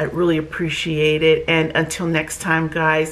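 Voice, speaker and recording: Clear background noise fills the recording. The woman talks very slowly. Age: 60s. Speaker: wig reviewer. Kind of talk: product review vlog. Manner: animated.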